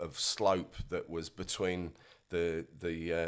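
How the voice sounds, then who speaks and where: Speaking in a very deep, low, flat monotone, a man talks with a South Yorkshire accent. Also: very clean recording, silent background. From northern England, Rotherham, South Yorkshire. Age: 50s. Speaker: musician. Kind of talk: casual interview chat. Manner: halting, many fillers.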